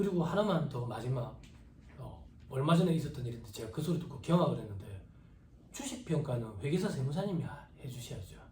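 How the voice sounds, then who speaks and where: Audible room echo surrounds a man with a fairly high pitch, a dark, mellow tone and vocal fry, who talks at a fairly quick pace with lively intonation. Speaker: tax practice lecturer. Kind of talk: lecture. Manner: casual, conversational.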